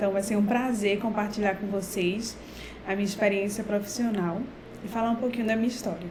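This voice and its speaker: A woman with a Pernambuco accent, fairly quick, flat and monotone, at very even loudness, with audible room echo and noticeable background noise. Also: medium pitch for a woman. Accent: Brazilian Portuguese, Pernambuco. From Brazil, Recife (Pernambuco). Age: 40s. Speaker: professor. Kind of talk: talk for students.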